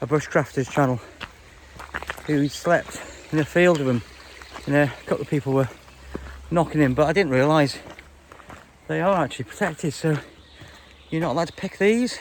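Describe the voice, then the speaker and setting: Over noticeable background noise, a man with a Welsh accent speaks at a fairly quick pace with ordinary pitch variation and long, frequent pauses. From Wales. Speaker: hiking vlogger. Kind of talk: casual vlog narration. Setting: outdoors on a mountain walk. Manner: hesitant, many fillers.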